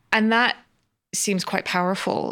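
On a very clean recording with a silent background, the voice moves at a fairly quick pace. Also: woman. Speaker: podcast host. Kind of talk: interview.

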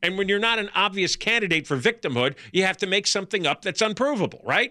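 In a raised, projected voice, a man speaks at a very fast pace with a high pitch and a bright, sharp tone on a very clean recording with a silent background. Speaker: talk radio co-host. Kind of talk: talk radio chat. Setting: radio studio.

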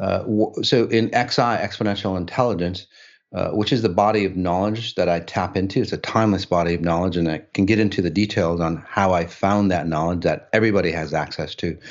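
A man speaks in a plain, everyday voice at a moderate pace, fairly low in pitch. His pitch varies in an ordinary way against a quiet background. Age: 60s. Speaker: spiritual healer. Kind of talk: casual chat.

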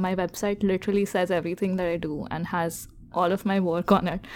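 This woman has a dark, mellow tone. She talks at a fairly quick pace. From India. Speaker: engineer and podcast co-host. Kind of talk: casual chat.

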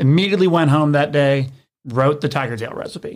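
The recording is very clean, with a silent background. A man talks at a fairly high pitch with ordinary pitch variation. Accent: Tennessee. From Memphis, Tennessee. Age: 20s. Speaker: brewery founder and brewer. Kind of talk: casual interview chat.

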